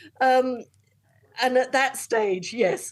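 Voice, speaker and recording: Speaking in an English accent, a woman uses a high pitch and a fairly slow pace. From England. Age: 60s. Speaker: long-distance hiker. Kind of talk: interview. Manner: halting.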